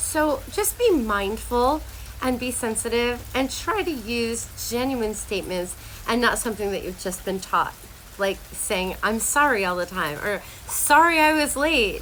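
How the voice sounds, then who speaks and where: Against noticeable background noise and audible room echo, a woman speaks at a fairly slow pace in an animated tone, her fairly high pitch making very wide swings. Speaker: health and life coach. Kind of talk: casual vlog monologue.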